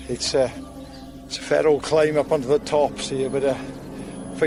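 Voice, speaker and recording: A man's voice amid noticeable background noise. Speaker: wildlife presenter. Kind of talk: on-location commentary. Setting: outdoors on mountain.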